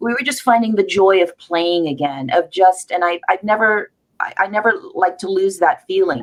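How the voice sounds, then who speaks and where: Here a woman talks in a normal speaking voice at a medium pitch. She keeps a moderate pace with lively intonation. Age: 60s. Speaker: actress and film festival founder. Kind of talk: panel discussion.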